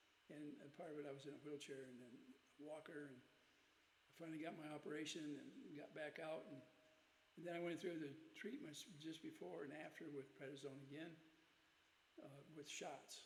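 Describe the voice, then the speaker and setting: The speech moves at a moderate pace with long, frequent pauses, fairly even intonation, and a somewhat breathy quality. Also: man, fairly high pitch for a man. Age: 80s+. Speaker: COPD patient. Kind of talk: casual talk to camera.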